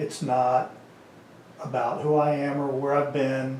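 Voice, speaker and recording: Over noticeable background noise and audible room echo, a man with a Kansas accent speaks at a fairly slow pace in a fairly high pitch, with monotone, flat intonation. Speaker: interviewer, veteran community organizer. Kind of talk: casual interview. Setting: on camera.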